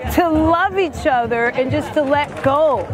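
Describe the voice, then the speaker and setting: Over music in the background and audible room echo, a woman with an American accent speaks at a fairly slow pace, her high pitch showing ordinary variation. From mixed Canadian, Jamaican and American background. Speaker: event attendee. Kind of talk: street interview.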